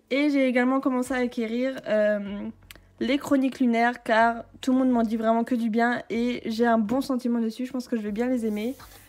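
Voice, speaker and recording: At a moderate pace, a woman speaks in a high voice with a monotone, flat intonation. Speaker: book YouTuber. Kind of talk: casual video tour. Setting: home, handheld camera. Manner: hesitant, many filler sounds; whispering briefly.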